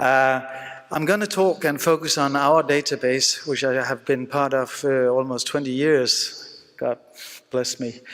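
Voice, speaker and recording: Speaking with a Danish accent at a fairly slow pace, a man uses a fairly high pitch and fairly even intonation over noticeable background noise. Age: 50s. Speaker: surgeon. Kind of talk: conference lecture. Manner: halting, many fillers.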